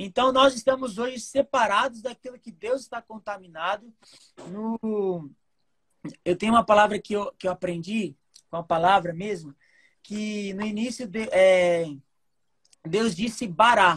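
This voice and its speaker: In a dry, close recording with no echo, a somewhat breathy woman of medium pitch speaks at a fairly slow pace with long, frequent pauses and big swings in loudness. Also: ordinary pitch variation. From Brazil, Mato Grosso do Sul (Campo Grande). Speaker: lay preacher. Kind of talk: sermon. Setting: video call.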